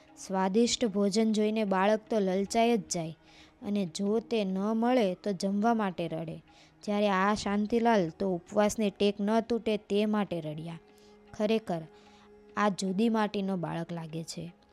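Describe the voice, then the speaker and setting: Music plays behind a woman of medium pitch who speaks with fairly even intonation. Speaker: narrator of a religious life story. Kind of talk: devotional biography narration.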